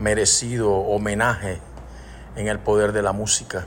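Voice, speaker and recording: A man with a fairly low pitch and ordinary pitch variation talks at a fairly slow pace, with audible room echo around him. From Panama. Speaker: singer-songwriter. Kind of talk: recorded voice message.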